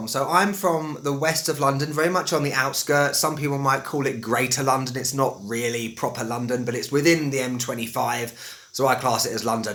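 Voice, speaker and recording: Barely pausing, a man talks fairly quickly while background noise is noticeable. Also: medium pitch for a man, ordinary pitch variation. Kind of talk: casual.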